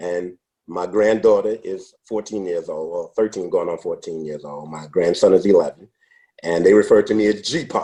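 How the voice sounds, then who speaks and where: At a moderate pace, a man with an American accent speaks with big swings in loudness. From New York City, Brooklyn. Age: 60s. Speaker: former salesman. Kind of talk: interview.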